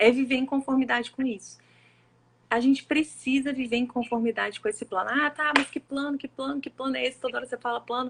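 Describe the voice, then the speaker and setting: In a dry, close sound with no echo, a woman with a high voice talks very fast with fairly even intonation. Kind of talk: sermon-style live talk. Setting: live stream with co-host.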